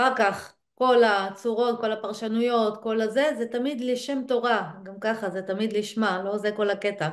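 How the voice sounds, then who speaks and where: A woman with a fairly high pitch talks at a moderate pace with hardly any pauses. Her intonation stays fairly even over a quiet background. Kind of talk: casual study discussion. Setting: video recording. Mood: thoughtful, engaged. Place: home room. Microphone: video call.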